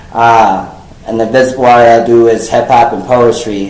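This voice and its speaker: A man's medium-pitched, monotone voice with flat intonation, at a moderate pace, amid noticeable background noise and audible room echo. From Minneapolis, Minnesota, born in Somalia. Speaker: hip hop artist and poet. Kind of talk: casual introduction to camera.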